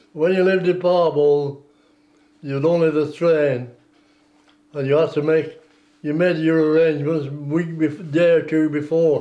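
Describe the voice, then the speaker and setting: A man's fairly high-pitched, dark and mellow voice in a Lancashire accent, monotone and flat, at a fairly slow pace with long, frequent pauses. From northern England, West Lancashire. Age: 80s+. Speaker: war veteran. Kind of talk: oral history interview.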